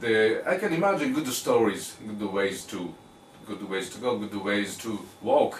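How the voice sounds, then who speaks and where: Amid noticeable background noise and audible room echo, a man speaks at a fairly slow pace with very wide pitch swings. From Japan. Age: 50s. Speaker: talk show host. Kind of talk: interview conversation. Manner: halting, with many fillers.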